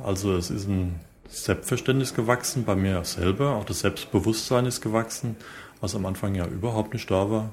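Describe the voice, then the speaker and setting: A man's somewhat breathy, fairly low voice at a moderate pace, with ordinary pitch variation. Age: 40s. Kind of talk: interview answers.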